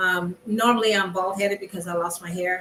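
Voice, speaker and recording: With an American accent, a woman talks at a medium pitch and moderate pace in a monotone, flat intonation. Noticeable background noise is audible. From California. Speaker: artist in online circle. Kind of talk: casual chat.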